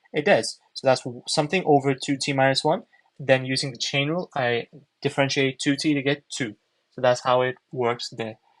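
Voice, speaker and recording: Recorded dry and close with no echo, a man speaks at a moderate pace with a fairly high pitch and fairly even intonation. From mixed, raised in different parts of the world. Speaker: maths tutor livestreamer. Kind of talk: tutorial. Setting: livestream. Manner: conversational, answering chat.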